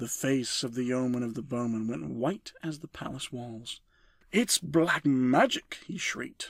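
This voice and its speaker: With an unremarkable speaking voice, a man talks at a fairly slow pace in a medium pitch with ordinary pitch variation. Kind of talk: bedtime story reading for sleep, ASMR. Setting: binaural recording with page-turning sounds. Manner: gentle, calm, soft-spoken.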